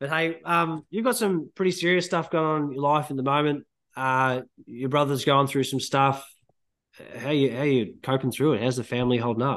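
A man with an Australian accent and a fairly high pitch, with ordinary pitch variation at a moderate pace, against a quiet background. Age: 30s. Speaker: podcast host. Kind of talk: casual chat.

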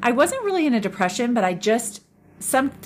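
A woman is speaking. She has a Californian accent. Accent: American (Californian). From Northern California. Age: 50s. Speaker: podcast host. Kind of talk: solo monologue podcast.

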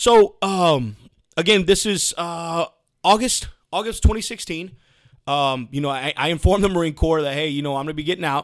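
A man talks with a Texan accent at a moderate pace. His voice is high in pitch, with ordinary pitch variation. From Texas, Houston. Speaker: Marine veteran and remodeling contractor. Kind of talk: casual interview.

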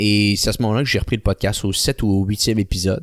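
Here a man has a normal speaking voice, fairly low in pitch, at a moderate pace. The sound is dry and close with no echo, and the recording is very clean with a silent background. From Quebec City. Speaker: podcast host and online ad agency owner. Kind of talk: interview.

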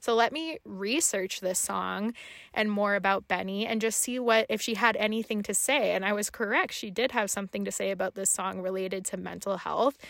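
A woman talks in a normal speaking voice with ordinary pitch variation and hardly any pauses, captured on a very clean recording against a silent background. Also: medium pitch for a woman, fairly quick pace. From Canada, French Canadian family. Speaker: podcast co-host. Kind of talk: casual chat.

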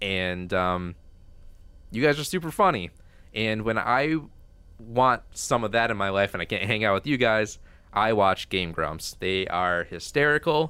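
Speaking at a fairly low pitch and a fairly slow pace, a man uses lively intonation and long, frequent pauses on a very clean recording with a silent background. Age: 20s. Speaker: podcast co-host. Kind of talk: casual chat.

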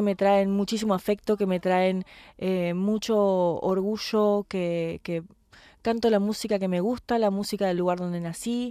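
On a very clean recording with a silent background, a woman with a Rioplatense accent speaks at a fairly slow pace and medium pitch, her tone dark and mellow and her intonation fairly even. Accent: Argentine Spanish (rioplatense). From Argentina. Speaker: tango singer. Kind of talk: interview.

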